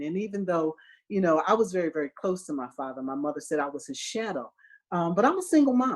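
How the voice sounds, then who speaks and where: Very fast speech with lively intonation in an American accent. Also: woman. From US Northeast, Philadelphia. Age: 50s. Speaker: optometrist. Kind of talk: interview. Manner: conversational with filler words.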